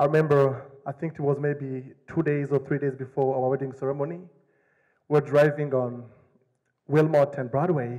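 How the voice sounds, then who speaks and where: A man with an African accent speaks at a moderate pace. His fairly high, dark and mellow voice stays monotone and flat. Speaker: asylum seeker telling his story. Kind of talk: personal storytelling to an audience.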